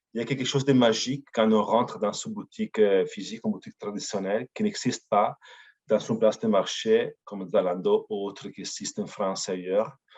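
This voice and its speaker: A man's fairly quick speech in an Italian accent, with big swings in loudness and a dry, close sound with no echo. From Italy. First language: Italian (speaking French). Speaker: company representative. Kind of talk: webinar presentation. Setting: online webinar. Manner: hesitant, frequent fillers.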